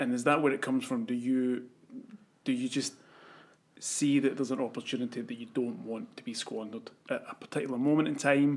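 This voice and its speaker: A man talks with a Scottish accent. His pace is fairly quick. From Scotland. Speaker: podcast host. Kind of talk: interview.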